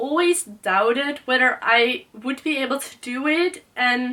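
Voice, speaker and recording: A woman with a Dutch accent uses a raised, projected voice. Her pitch is high and her intonation lively. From Netherlands. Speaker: book youtuber. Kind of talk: casual vlog talk. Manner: hesitant, many fillers.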